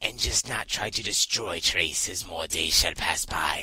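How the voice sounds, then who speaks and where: A man puts on a raspy character voice. He talks at a moderate pace. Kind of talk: interview answer. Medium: role play. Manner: hesitant.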